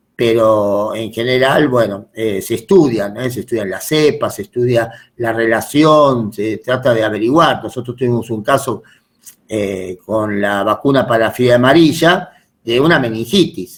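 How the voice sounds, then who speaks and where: This man has an ordinary speaking voice at a medium pitch. He talks at a fairly slow pace with ordinary pitch variation. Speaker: medical lecturer. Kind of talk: lecture.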